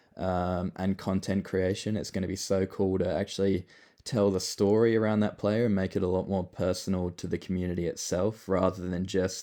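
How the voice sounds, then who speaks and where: In a very deep, low voice with a dark, mellow tone, a man speaks at a moderate pace with monotone, flat intonation. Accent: Australian. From Australia. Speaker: project founder, former pro footballer. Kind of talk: casual online AMA talk. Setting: online voice call. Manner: casual with many fillers.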